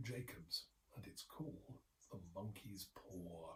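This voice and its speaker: There is a somewhat breathy quality to this man's voice. His intonation is lively. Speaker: anthology editor. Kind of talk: ghost story reading.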